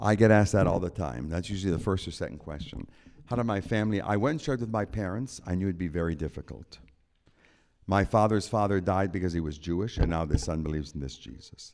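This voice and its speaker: Very deep and low, a man's voice with vocal fry races at a very fast pace with lively intonation. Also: very clean recording, silent background. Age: 70s. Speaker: concert pianist. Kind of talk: audience Q&A. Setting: church with live audience. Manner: conversational.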